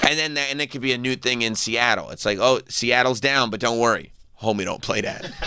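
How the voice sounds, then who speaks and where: This man speaks in a New York accent at a fairly quick pace. His medium-pitched voice has a bright, sharp tone. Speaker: radio show host. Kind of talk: casual chat. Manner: animated.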